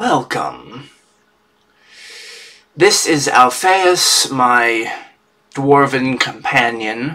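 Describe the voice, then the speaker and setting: In a put-on character voice, a man speaks at a very slow pace and medium pitch, leaving long, frequent pauses. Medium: actual play. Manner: exasperated.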